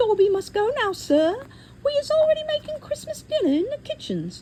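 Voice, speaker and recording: A put-on, squeaky character voice at an extremely high pitch, with very wide pitch swings, a moderate pace, and clear background noise. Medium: read story. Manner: deferential, speaks of himself by name, broken grammar.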